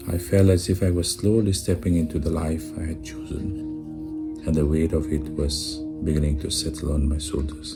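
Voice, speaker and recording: A calm, soft-spoken voice whispers at a moderate pace. Music plays in the background. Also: man. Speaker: storyteller recalling his own medical college days. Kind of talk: soft whispered personal storytelling. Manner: soft, calm, reflective, whispering.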